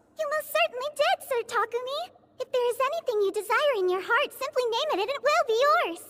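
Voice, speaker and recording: A female-sounding, cartoonish character voice pitched extremely high. It moves at a fairly quick pace. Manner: polite, formal, warm.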